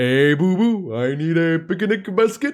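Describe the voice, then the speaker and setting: Middle pitch and a moderate pace in a put-on character voice. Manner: cartoonish put-on voice, not quite accurate.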